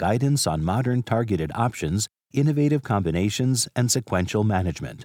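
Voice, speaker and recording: Dark and mellow in tone, the voice moves at a fairly quick pace with very wide pitch swings, dry and close with no echo on a very clean recording with a silent background. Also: man. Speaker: announcer. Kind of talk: scripted announcement.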